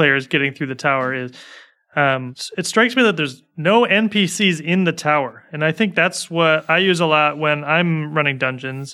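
Recorded very cleanly against a silent background, a man with an American accent speaks in a fairly high pitch and a bright, sharp tone. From United States. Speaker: podcast host. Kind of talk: casual chat.

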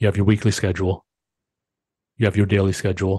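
A man's fairly low, somewhat breathy voice with a dark, mellow tone, very fast pace, and dry, close sound with no echo over a quiet background. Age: 40s. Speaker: podcast host. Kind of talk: solo motivational monologue. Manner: animated.

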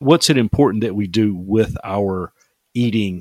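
In a plain, everyday voice, a man speaks at a fairly low pitch and fairly slow pace with ordinary pitch variation, the sound dry and close with no echo. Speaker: podcast host. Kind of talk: casual interview chat.

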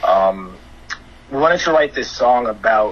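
The speaker has a New York accent. Noticeable background noise runs behind the voice. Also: man. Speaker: DJ and music producer. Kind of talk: casual interview chat.

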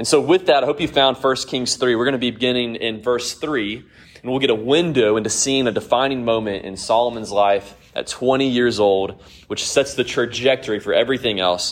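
Speaking at a fairly quick pace, a man uses an unremarkable speaking voice at medium pitch with ordinary pitch variation. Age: 30s. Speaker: Bible study teacher. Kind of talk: Bible study lesson.

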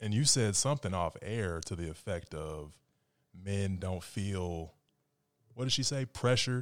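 On a very clean recording with a silent background, a man with an ordinary speaking voice talks at a fairly slow pace, his fairly low pitch carried by lively intonation. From Phoenix, Arizona. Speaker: podcast co-host. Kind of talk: casual chat.

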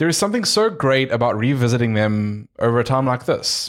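A man talks at a moderate pace and medium pitch, with an ordinary speaking voice. The recording is very clean, with a silent background. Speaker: podcast co-host. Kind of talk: casual chat.

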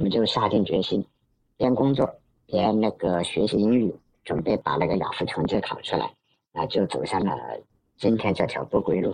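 A man keeps a moderate pace but leaves long pauses often. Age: 30s. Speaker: electronics engineer, emigrant interviewee. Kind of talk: interview.

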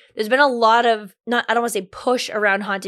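A woman talks at a very fast pace. Her intonation is monotone and flat. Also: very clean recording, silent background. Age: 30s. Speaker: podcast host. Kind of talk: casual chat.

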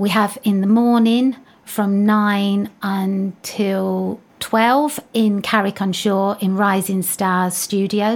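Speaking very slowly in a medium pitch, a woman keeps her intonation monotone and flat and her loudness very even. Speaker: dance academy owner. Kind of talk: interview, casual chat.

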